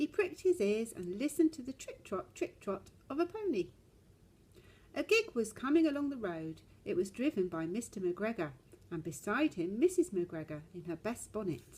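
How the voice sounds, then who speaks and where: The pitch of a woman's somewhat breathy voice swings very widely as she talks at a moderate pace. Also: fairly high pitch for a woman. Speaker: storyteller. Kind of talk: children's story reading.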